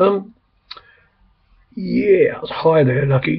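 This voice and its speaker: A man with an English accent. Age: 60s. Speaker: vlogger. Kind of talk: casual chat. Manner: rambling, hesitant.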